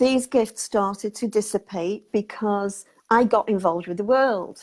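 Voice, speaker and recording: A woman talks in a fairly high pitch with ordinary pitch variation. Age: 60s. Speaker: spiritual healer interviewee. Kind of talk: interview, life story. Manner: hesitant, many fillers and repeats.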